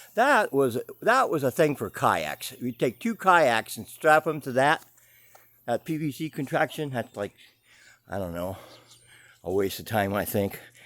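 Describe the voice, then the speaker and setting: A man talks at a moderate pace with lively intonation. The recording is dry and close, with no echo. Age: 60s. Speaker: boat builder and craftsman vlogger. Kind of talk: casual video tour vlog. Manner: halting, with many fillers and repeats.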